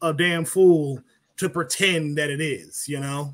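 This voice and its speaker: A normal speaking voice from a man, fairly high in pitch, with fairly even intonation. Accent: American. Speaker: political commentator. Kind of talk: casual chat. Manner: profane, blunt.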